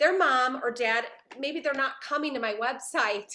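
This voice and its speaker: A woman speaks in a raised, projected voice with a high pitch, a bright, sharp tone, ordinary pitch variation and a moderate pace. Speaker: parent educator and company founder. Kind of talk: talk to a video meeting.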